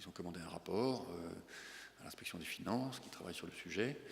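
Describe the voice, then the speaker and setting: Talking at a very fast pace, a man shows ordinary pitch variation, with audible room echo. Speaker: bank chief executive. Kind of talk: business breakfast talk with Q&A. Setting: breakfast meeting with audience. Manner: hesitant, many fillers.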